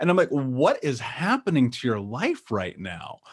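A fairly high-pitched man in an American accent at a moderate pace. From Indianapolis, US Midwest. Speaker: author and speaker on healing childhood trauma. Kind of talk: interview. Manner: animated.

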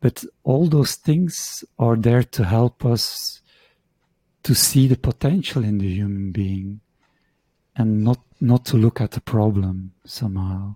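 Over a very clean recording with a silent background, a man speaks at a very slow pace. His voice is somewhat breathy, with a dark, mellow tone. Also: medium pitch for a man, ordinary pitch variation, dry, close sound with no echo. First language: Dutch. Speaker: shiatsu practitioner and teacher. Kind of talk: interview conversation. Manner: halting.

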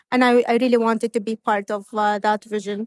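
A woman in an Arabic accent speaks fairly quickly at a fairly high pitch, with a dry, close sound and no echo. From Saudi Arabia. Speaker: university provost. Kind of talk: interview. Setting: conference venue.

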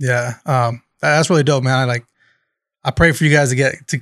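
A man with an American accent and a fairly high pitch speaks at a moderate pace with fairly even intonation, in a dry, close sound with no echo. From Bakersfield, California. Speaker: podcast host. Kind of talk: casual chat.

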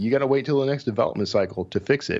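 Speaking with an American accent, a man shows ordinary variation in pitch. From Texas, Houston area. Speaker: thriller author and book marketing director. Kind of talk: casual interview. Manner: halting, repeats words.

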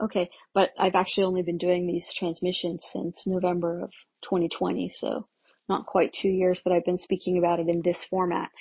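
A woman's somewhat breathy voice with fairly even intonation. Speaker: spiritual channeler. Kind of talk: channeled spiritual transmission monologue. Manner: casual, meandering with many fillers.

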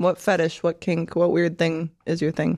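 A woman's fairly slow speech, dry and close with no echo, on a very clean recording with a silent background. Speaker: podcaster and adult entertainer. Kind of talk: casual chat.

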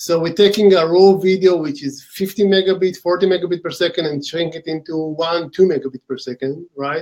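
A man with an Israeli accent talks at a moderate pace, hardly pausing. His pitch is high and his intonation fairly even. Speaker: company co-founder and executive. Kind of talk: interview.

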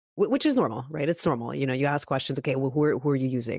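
A woman speaks in an animated tone, with a dry, close sound and no echo. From Canada, Montreal. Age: 40s. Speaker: email marketing consultant. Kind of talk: interview. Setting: video call livestream. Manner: animated, many filler words.

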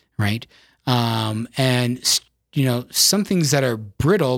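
On a very clean recording with a silent background, a man with an Upper Midwest accent speaks at a fairly slow pace in a medium pitch with lively intonation. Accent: Upper Midwest American. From South Dakota, US Midwest. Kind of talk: casual chat. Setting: studio.

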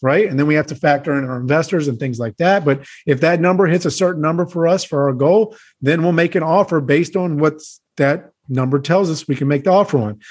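Against a quiet background, a man with an unremarkable speaking voice talks fairly quickly, his pitch fairly high with ordinary variation. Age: 30s. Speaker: house flipper and real estate investor. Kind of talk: interview.

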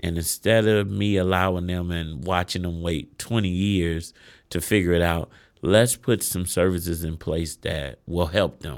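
Speaking with an American accent, a man with a very deep, low voice keeps his intonation fairly even at a fairly slow pace, on a very clean recording with a silent background. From Chicago west side. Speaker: business owner and CEO. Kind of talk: interview.

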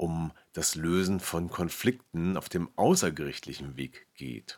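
In a very deep, low voice, a man speaks at a very slow pace with a calm, soothing tone. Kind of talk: guided meditation. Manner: slow, calm, soothing, with long pauses; gentle, soft-spoken, repeating phrases like an echo.

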